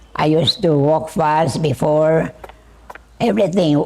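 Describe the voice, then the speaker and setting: A woman speaks at a very slow pace with a very deep, low pitch. Noticeable background noise is present. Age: 80s+. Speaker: retired religious sister. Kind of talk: interview.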